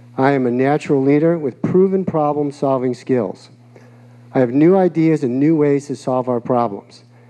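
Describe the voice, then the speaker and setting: A man with an American accent and fairly high pitch, at a moderate pace with ordinary pitch variation, over noticeable background noise. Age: 60s. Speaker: mayoral candidate. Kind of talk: campaign speech. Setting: public forum with live audience.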